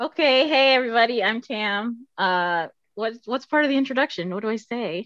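A woman talks at a moderate pace in a fairly high pitch. Hers is an unremarkable speaking voice with lively intonation. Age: 30s. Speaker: nonprofit fundraiser. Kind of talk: casual chat.

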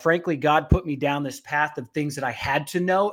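This man has a normal speaking voice, pitched fairly high, with fairly even intonation. He talks at a fairly quick pace. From Utah. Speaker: beef packing plant strategist. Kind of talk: interview conversation.

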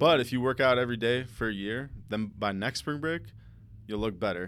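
A man talks at a fairly quick pace in a normal speaking voice with ordinary pitch variation. The recording is very clean, with a silent background. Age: 20s. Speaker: music producer. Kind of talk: casual chat.

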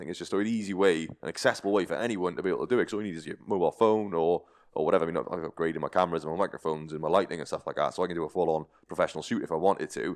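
A man's very deep, low voice at a very fast pace, fairly even in intonation, against a quiet background. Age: 30s. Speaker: endurance challenge athlete. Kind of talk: casual interview.

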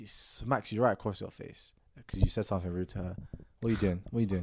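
On a very clean recording with a silent background, a man with a London accent speaks very fast at a fairly low pitch, his intonation fairly even, his loudness swinging widely, with long, frequent pauses. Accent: London multicultural English. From Moroccan heritage, raised in UK. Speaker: podcast host. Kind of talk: casual chat.

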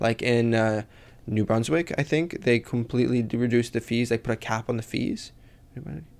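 A man talks at a fairly quick pace in a normal speaking voice, medium in pitch with ordinary pitch variation. The recording is very clean, with a silent background. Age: 20s. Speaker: student podcast host. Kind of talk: casual interview.

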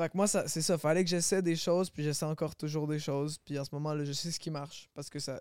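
A man with a fairly high voice speaks very fast in a flat monotone with hardly any pauses, in a dry, close recording with no echo and a silent background. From Quebec, Longueuil. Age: 20s. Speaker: singer. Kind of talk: casual chat.

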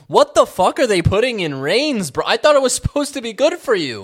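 This man speaks at a very fast pace. The recording is very clean, with a silent background. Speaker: podcast co-host. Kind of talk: casual chat. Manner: loud; animated.

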